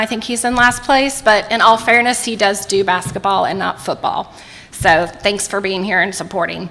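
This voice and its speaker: A woman with an American accent at a medium pitch and a moderate pace, with ordinary pitch variation and music in the background. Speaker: mayoral candidate. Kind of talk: campaign debate statement. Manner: voice quivering.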